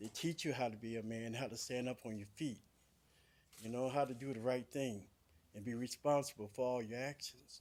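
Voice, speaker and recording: A man's plain, everyday voice, medium in pitch, with fairly even intonation and a fairly quick pace. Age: 60s. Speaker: public commenter at county board meeting. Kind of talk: public comment testimony.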